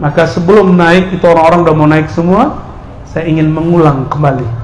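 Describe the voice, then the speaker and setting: Amid noticeable background noise and audible room echo, a man speaks in an animated tone at a fairly quick pace with a high pitch. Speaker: Islamic preacher. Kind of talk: sermon. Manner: animated, humorous.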